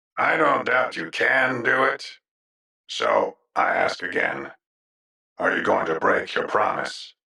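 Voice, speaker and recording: A man's raspy put-on character voice, fairly slow, with long, frequent pauses. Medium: audio drama. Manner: calm, measured.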